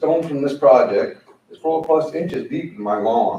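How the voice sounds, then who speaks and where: A man's fairly high-pitched voice in an American accent, dark and mellow in tone, with vocal fry and lively intonation. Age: 60s. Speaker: resident speaking at public comment. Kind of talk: public comment at meeting. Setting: county board meeting room.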